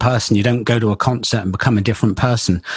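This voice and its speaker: A man speaks with a somewhat breathy voice. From England, Bristol. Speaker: loudspeaker company engineer. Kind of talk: interview conversation. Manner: halting, repeats words.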